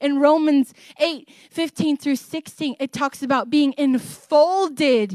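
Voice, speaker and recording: Loud and animated, a woman speaks in a high voice with a dry, close sound and no echo. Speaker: guest preacher. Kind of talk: sermon. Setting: church. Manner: loud, animated.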